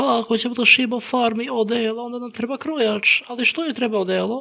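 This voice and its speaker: The voice is a put-on character. Its pitch is fairly high. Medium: dub. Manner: innocent, confused.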